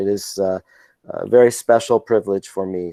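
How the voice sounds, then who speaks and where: Dry and close with no echo, the voice has a dark, mellow tone and monotone, flat intonation. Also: man. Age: 60s. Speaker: chiropractic and rehab author, webinar presenter. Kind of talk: webinar Q&A. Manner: halting.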